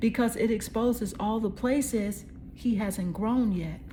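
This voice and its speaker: A woman's fairly high, somewhat breathy voice with a dark, mellow tone, fairly even intonation, a fairly slow pace and audible room echo. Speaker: tarot card reader. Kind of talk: psychic tarot reading. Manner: casual, conversational.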